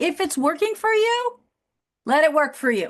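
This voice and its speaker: This woman's voice sits at an extremely high pitch. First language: not English. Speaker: business coach. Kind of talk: interview conversation.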